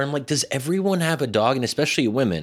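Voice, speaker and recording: This is a man speaking. His intonation is lively. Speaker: podcast co-host and commentator. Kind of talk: casual chat. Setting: remote recording over headphones.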